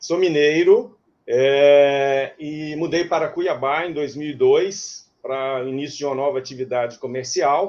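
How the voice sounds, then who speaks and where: The speech is very slow, with hardly any pauses. Intonation stays fairly even. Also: man, fairly high pitch for a man. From Minas Gerais, Brazil. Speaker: retired runner and miles investor. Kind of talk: interview.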